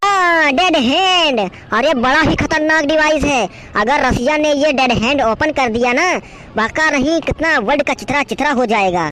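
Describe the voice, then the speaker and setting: Clear background noise surrounds a high, cartoonish character voice. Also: moderate pace. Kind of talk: comic overacting. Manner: excitable, keeps announcing "latest news".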